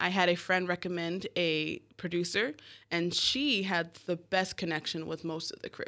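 In a very clean recording with a silent background, a woman with a normal speaking voice talks at a fairly slow pace and medium pitch. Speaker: filmmaker. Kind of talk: interview. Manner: laughs often.

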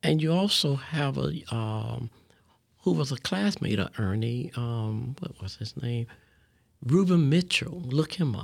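A man with an American accent, medium-pitched and somewhat breathy, fairly slow, his pitch swinging very widely. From West Palm Beach, Florida. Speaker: community leader. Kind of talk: interview. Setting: radio studio.

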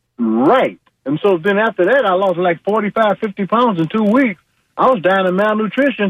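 A man with an American accent speaks at a moderate pace in a high pitch, with ordinary pitch variation and very even loudness. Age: 60s. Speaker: caller and cancer survivor, retired military. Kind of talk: casual phone call sharing advice. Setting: phone call.

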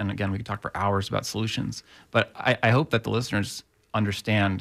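This speaker has an American accent and vocal fry, with ordinary pitch variation at a fairly quick pace. The recording is very clean, with a silent background. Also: man. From Tampa, Florida. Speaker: housing advocate. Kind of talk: radio interview.

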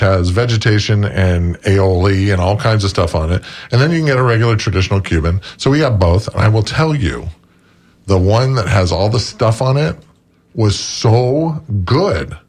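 Somewhat breathy, a man with a fairly low pitch talks at a moderate pace. His intonation is lively, and his loudness stays very even. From Florida, St. Petersburg. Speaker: restaurant representative and book author. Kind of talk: radio interview.

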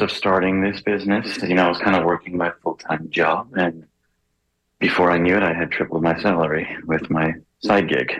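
A man's very deep, low voice, monotone and flat, at a moderate pace with very even loudness. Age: 40s. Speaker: entrepreneur and filmmaker. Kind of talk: interview. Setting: phone call.

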